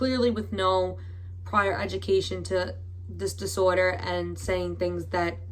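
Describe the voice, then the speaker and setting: In a room with audible echo, a woman talks at a very slow pace in a very deep, low, somewhat breathy voice with monotone, flat intonation. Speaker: YouTuber. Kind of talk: commentary vlog. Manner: hesitant, with fillers.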